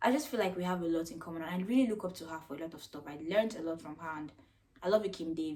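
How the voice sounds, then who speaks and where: The intonation is lively. The voice is somewhat breathy. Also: woman. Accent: Nigerian. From Nigeria (Jos, Plateau State). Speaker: YouTuber. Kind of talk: casual vlog Q&A. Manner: casual, chatty.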